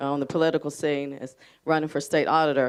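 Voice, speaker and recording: Fairly quick speech in an American accent over a quiet background. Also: woman. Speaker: audience member. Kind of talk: testimony. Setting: community event with audience. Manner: loud; halting.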